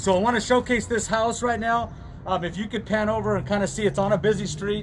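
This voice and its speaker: The voice is loud, with ordinary pitch variation. Noticeable background noise sits behind it. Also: man. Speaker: real estate broker. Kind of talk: virtual open house tour.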